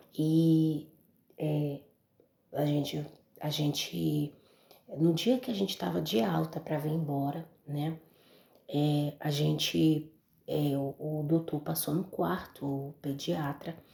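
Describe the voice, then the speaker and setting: Soft-spoken and somewhat breathy, a woman with a very deep, low pitch and a dark, mellow tone talks at a very slow pace with ordinary pitch variation and long, frequent pauses. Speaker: mother giving religious testimony. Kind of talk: testimony.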